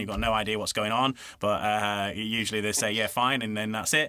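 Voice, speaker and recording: On a very clean recording with a silent background, a man with a Yorkshire accent and a bright, sharp tone speaks at a fairly quick pace. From Yorkshire, northern England. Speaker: voiceover artist and radio presenter. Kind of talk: casual interview chat. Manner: hesitant, many fillers and restarts.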